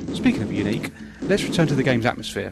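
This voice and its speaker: Music plays in the background. Over it, a man talks at a very fast pace. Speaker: retro game reviewer. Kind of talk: video game review narration. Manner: some stuttering.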